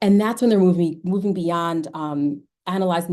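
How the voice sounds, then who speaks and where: Over a quiet background, the voice is dark and mellow, with an American accent, a fairly quick pace and ordinary pitch variation. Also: woman. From New York. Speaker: educator and researcher. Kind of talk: virtual lecture presentation. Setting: video call. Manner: fast.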